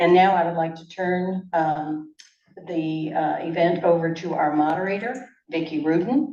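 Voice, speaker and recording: Audible room echo surrounds a woman's dark, mellow tone as she talks at a fairly slow pace with big swings in loudness and ordinary pitch variation. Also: fairly low pitch for a woman. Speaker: event organizer, retired teacher. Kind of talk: public event opening remarks. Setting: library meeting room with audience, PA mic.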